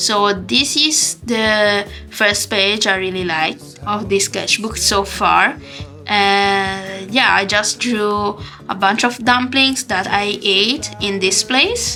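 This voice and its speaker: Music plays in the background as a woman with a non-native accent speaks at a very slow pace. Her voice sits at medium pitch, with ordinary pitch variation. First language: not English. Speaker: artist. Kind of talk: casual talk to camera. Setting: camera microphone.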